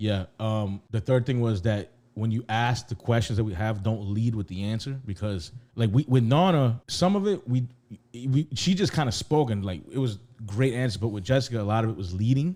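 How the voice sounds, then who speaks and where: Lively intonation marks this man's dark, mellow tone, heard at medium pitch and moderate pace on a very clean recording with a silent background. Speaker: podcast co-host. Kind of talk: casual chat. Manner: loud.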